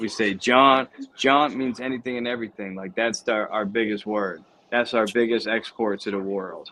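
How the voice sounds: With a Philadelphia accent, a man speaks at a moderate pace in a bright, sharp, medium-pitched voice with fairly even intonation.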